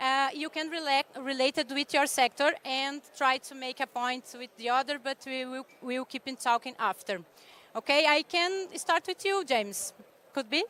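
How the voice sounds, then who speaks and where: Raised and projected, a woman's high voice with a bright, sharp tone and a non-native accent moves at a moderate pace with ordinary pitch variation, recorded dry and close with no echo. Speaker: panel moderator, executive director of youth climate organization. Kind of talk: panel moderation. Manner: halting.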